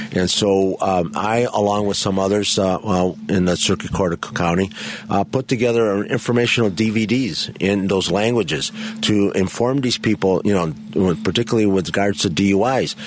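Noticeable background noise sits behind a man with a fairly low pitch. His loudness is very even, and his pitch variation is ordinary. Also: moderate pace. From Chicago (Pilsen/Bridgeport). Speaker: judge. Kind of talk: radio interview. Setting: studio.

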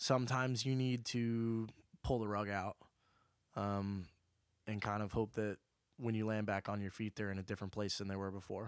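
In a very clean recording with a silent background, a man with an American accent speaks at a fairly low pitch and a moderate pace, with fairly even intonation and long, frequent pauses. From Oklahoma. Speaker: college friend, music industry worker. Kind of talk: casual chat.

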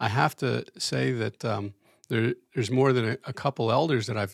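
The voice has vocal fry and ordinary pitch variation on a very clean recording with a silent background. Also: man. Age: 60s. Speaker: church teacher, retired. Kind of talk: casual chat. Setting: studio. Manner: halting.

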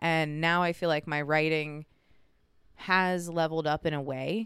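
A normal speaking voice with an American accent at a moderate pace, on a very clean recording with a silent background. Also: woman. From West Virginia, Lewis County. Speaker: comedian. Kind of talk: casual chat.

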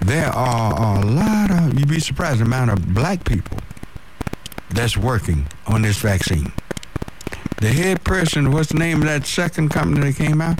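Moderate speed and very wide pitch swings, with noticeable noise behind. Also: man. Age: 60s. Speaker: radio host. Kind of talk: call-in radio talk show. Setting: radio studio.

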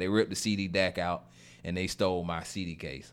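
In a Southern US accent, the speaker talks at a fairly quick pace in an animated tone. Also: man. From Florida. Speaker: podcast host. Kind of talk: casual chat. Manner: animated, pepped up.

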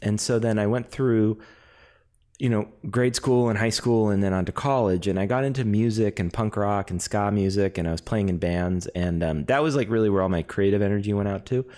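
A man with a Californian accent and a fairly low voice speaks at a fairly quick pace with a dark, mellow tone, ordinary pitch variation and very even loudness, in a very clean recording with a silent background. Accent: General American, Californian. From Los Angeles. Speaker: actor and improviser. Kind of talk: casual chat.

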